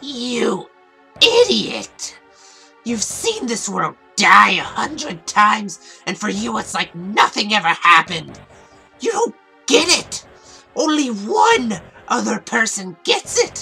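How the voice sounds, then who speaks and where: A put-on character voice, female-sounding and fairly high in pitch, at a fairly slow pace over faint music in the background. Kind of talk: comic dub. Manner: mocking, taunting.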